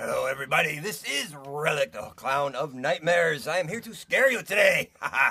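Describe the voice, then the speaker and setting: A man in a put-on character voice speaks at a fairly quick pace and a fairly high pitch, with hardly any pauses. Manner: menacing, theatrical.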